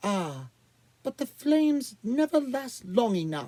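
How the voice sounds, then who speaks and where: A put-on character voice, pitched fairly high, delivers its lines at a fairly slow pace. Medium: read story. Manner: theatrical, self-indulgent.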